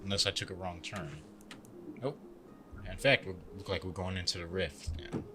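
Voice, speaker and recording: Music plays in the background as a man with a very deep, low pitch speaks at a moderate pace with long, frequent pauses. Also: ordinary pitch variation. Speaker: gaming youtuber. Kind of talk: gameplay commentary. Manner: stuttering today.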